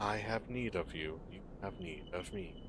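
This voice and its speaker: This is a put-on character voice at a moderate pace. Loud background noise runs underneath it. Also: man, fairly low pitch for a man. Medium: game stream. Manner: terse, cryptic, clipped.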